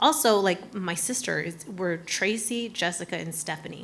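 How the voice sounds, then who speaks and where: A woman speaks in an American accent at a medium pitch. Her pace is moderate, her pitch variation ordinary, and background noise is noticeable. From Arizona, US. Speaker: cafe owner, business panelist. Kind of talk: panel discussion. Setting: room with live audience. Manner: casual, halting.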